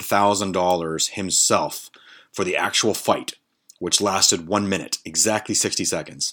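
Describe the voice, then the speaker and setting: A man with a fairly low voice at a fairly slow pace, a plain, everyday voice, on a very clean recording with a silent background. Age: 40s. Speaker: solo podcast host. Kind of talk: casual comedic monologue. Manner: casual, filler-heavy.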